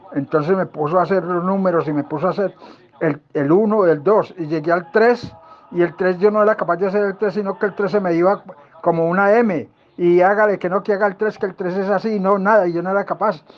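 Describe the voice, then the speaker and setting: A man with a high pitch and fairly even intonation, over noticeable background noise. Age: 80s+. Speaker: student's grandfather. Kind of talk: personal testimony. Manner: halting.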